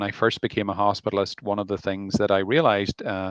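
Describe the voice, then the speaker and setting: A man with an Irish accent speaks at a moderate pace in a fairly low voice. The sound is dry and close with no echo, against a quiet background. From Ireland. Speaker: family doctor. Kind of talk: live interview. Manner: hesitant, many fillers.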